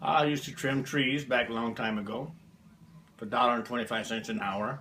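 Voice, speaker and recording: A man with an American accent speaks at a medium pitch and a fairly quick pace. His tone is bright and sharp, with ordinary pitch variation. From US South (Alabama). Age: 70s. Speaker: grandfather being interviewed. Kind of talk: interview.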